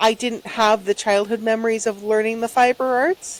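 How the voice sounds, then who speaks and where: A woman speaks softly at a fairly high pitch. Her intonation stays fairly even. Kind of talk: casual chat. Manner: soft-spoken.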